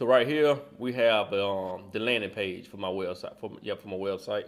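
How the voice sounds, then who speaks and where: A man speaks at a fairly quick pace with fairly even intonation. The recording is very clean, with a silent background. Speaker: aspiring UX designer, course student. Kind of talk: tutorial. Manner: fast; casual, with many fillers.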